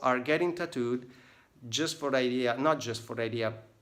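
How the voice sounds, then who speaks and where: A man speaks with an Italian accent. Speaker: tattoo artist. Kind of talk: casual vlog book review. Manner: halting, many fillers.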